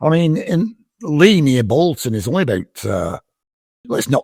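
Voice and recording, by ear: With vocal fry and very wide pitch swings, a man talks at a fairly quick pace, the sound dry and close with no echo. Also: very clean recording, silent background.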